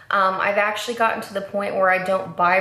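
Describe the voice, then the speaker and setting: A woman speaks with audible room echo. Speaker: beauty vlogger. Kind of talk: makeup tutorial chat. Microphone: camera far.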